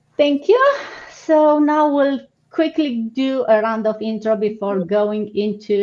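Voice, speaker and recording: A woman with a Romanian accent, dark, mellow tone, lively intonation and fairly slow pace. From Romania, Suceava. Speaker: online business host. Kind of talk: live stream business session.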